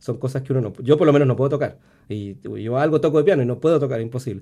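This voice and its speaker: The voice has a dark, mellow tone and moves at a very fast pace. The recording is very clean, with a silent background. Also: man. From Chile, born in Venezuela. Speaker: composer and music professor. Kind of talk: radio interview.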